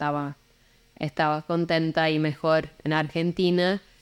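A woman with a very deep, low pitch, a very slow pace and fairly even intonation. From England, Portsmouth. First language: English (speaking Spanish). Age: 40s. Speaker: musician. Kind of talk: interview conversation. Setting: hostel in Lima. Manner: halting, many repeats and fillers.

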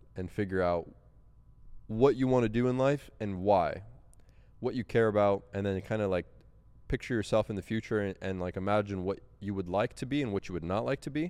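Against a quiet background, a man with a fairly low pitch and ordinary pitch variation talks at a fairly quick pace in an ordinary speaking voice. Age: 20s. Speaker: YouTuber and e-commerce entrepreneur. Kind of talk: casual interview.

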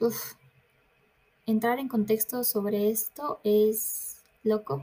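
A woman speaks at a fairly high pitch, with ordinary variation in her pitch. She talks very slowly, leaving long, frequent pauses. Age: 20s. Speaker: podcast host, university student. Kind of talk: casual monologue. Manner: hesitant, many fillers.

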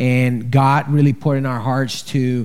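A man with a Colombian accent, at medium pitch and fairly even intonation, speaking at a very slow pace. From Colombia, Bogota. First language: Spanish. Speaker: charity director. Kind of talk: testimony. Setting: stage with audience. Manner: halting.

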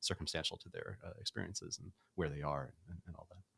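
Speaking at a fairly quick pace with an American accent, a man comes through in a dry, close sound with no echo. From New York City (Brooklyn). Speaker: startup founder and CEO. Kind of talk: casual interview. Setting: studio.

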